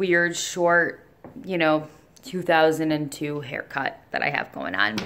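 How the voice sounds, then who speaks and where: Over noticeable background noise, a woman speaks with lively intonation at a very deep, low pitch. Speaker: vlogger. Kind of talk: casual vlog chat. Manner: hesitant, many fillers.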